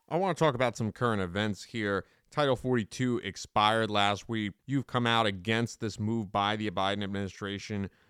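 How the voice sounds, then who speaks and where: An ordinary speaking voice from a man with a fairly low pitch and ordinary pitch variation, a moderate pace with hardly any pauses, and a dry, close sound with no echo on a very clean recording with a silent background. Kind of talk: interview.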